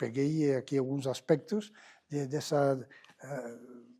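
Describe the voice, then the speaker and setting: Very slowly, a man speaks with a Spanish accent. His tone is dark and mellow. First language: Spanish or Catalan (speaking Portuguese). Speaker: lecturer on hermetic philosophy. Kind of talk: lecture. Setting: public library talk with audience. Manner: halting, many fillers.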